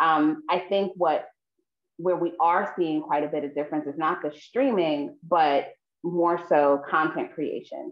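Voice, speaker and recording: With a New York accent, a woman speaks fairly slowly at a fairly low pitch with ordinary pitch variation, with audible room echo and a quiet background. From New York City. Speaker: filmmaker and nonprofit founder; guest. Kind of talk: panel discussion. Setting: video call. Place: home room. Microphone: video call.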